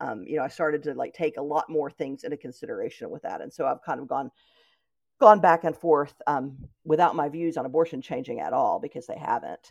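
In a quiet background, a woman with a very deep, low pitch and an East Tennessee accent talks at a fairly quick pace, with lively intonation and big swings in loudness. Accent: Southern American (East Tennessee). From Knoxville, Tennessee, US South. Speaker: blogger and writer. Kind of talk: conversational interview.

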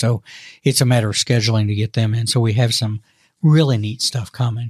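Somewhat breathy and very fast, a man speaks at a medium pitch with monotone, flat intonation. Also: very clean recording, silent background. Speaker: podcast host. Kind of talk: casual chat. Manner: halting.

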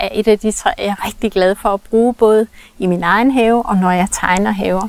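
A woman with a plain, everyday voice speaks at a fairly high pitch with fairly even intonation. The sound is dry and close with no echo. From rural Denmark. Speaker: garden architect. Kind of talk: casual interview. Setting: outdoors in a garden.

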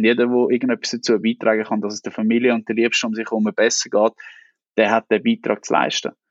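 Speaking very fast with an Aargau accent, a man with a medium-pitched voice keeps his intonation fairly even. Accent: Swiss German (Aargau). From Switzerland, Aargau (Niederwil). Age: 30s. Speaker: newspaper editor-in-chief. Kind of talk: interview.

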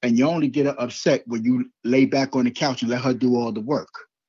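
Delivered at a moderate pace with ordinary pitch variation, this is a normal speaking voice. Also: man. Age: 50s. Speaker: life coach and author. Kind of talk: interview.

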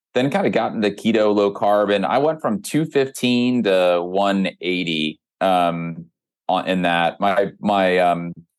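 A man with an unremarkable speaking voice, fairly low pitch, ordinary pitch variation, very even loudness and a fairly slow pace, against a quiet background. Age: 40s. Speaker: health startup founder. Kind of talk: interview conversation.

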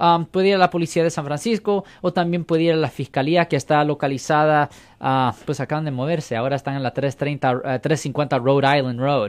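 A man with a plain, everyday voice, fairly high-pitched, at a moderate pace with ordinary pitch variation, in a dry, close sound with no echo. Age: 50s. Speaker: criminal defense lawyer. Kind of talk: call-in legal advice.

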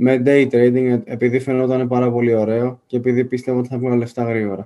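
A man's dark, mellow voice. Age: 20s. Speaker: university student and investing YouTuber. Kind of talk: interview.

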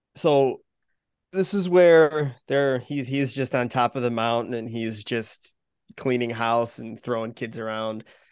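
With a quiet background, a man speaks in an unremarkable speaking voice at medium pitch, a fairly slow pace and ordinary pitch variation. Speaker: podcast co-host. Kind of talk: casual chat.

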